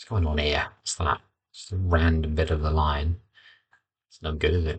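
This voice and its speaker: A somewhat breathy man with a very deep, low pitch, monotone, flat intonation, big swings in loudness, and a moderate pace. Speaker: poet and teacher. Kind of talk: writing process vlog, thinking aloud. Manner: mumbling, halting.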